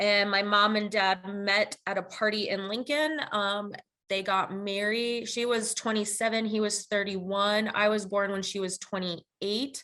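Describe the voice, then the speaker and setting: A woman at a fairly slow pace and medium pitch, fairly even in intonation, with hardly any pauses. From Nebraska and El Salvador. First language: Spanish. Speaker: podcast co-host. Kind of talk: casual chat.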